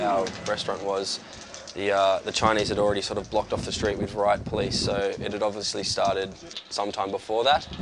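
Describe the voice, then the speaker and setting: At a fairly quick pace, a man talks through noticeable background noise. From Australia. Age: 20s. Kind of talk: interview answer.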